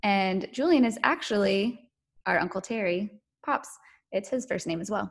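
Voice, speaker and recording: A woman speaks in a normal speaking voice at a medium pitch. Her pace is moderate, and the background is quiet. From North Carolina. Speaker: podcast guest sharing infertility story. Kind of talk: testimony.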